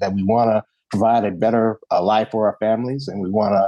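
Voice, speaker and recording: A man with a Southern US accent speaks at a fairly low pitch in a dark, mellow tone. The sound is dry and close, with no echo. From Alabama (Bessemer). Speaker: political candidate. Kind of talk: interview.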